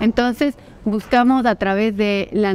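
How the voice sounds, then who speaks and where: A woman with fairly even intonation. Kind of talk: interview answer. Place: hall. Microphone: lapel.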